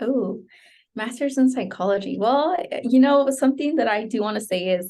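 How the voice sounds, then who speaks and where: Speech in a Spanish accent arrives at a moderate pace with lively intonation. The tone is dark and mellow. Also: woman, high pitch for a woman. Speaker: psychology graduate student. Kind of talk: interview. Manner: hesitant, many fillers.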